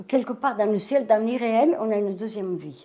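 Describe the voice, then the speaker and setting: A woman with a dark, mellow tone and a fairly high pitch speaks at a moderate pace with lively intonation. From southern France (Vaucluse, Bollène). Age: 90s. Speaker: elderly interviewee. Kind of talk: life-story interview. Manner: halting, many repetitions.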